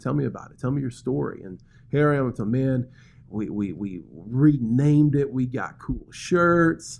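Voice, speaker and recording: A man's lively-toned voice in a Southern US accent. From US South, Birmingham, Alabama. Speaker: pastor. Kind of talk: casual chat.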